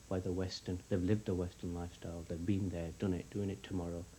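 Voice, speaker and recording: A man with a Yorkshire accent speaks in a very deep, low pitch, his tone dark and mellow, somewhat breathy, with fairly even intonation. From Bradford, West Yorkshire, England. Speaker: youth worker and artist. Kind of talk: TV news interview answer.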